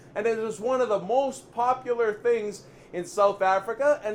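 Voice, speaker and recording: The man speaks in an animated, energetic tone. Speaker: chef and video host. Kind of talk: cooking vlog presentation. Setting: kitchen. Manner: stuttering, tripping over words.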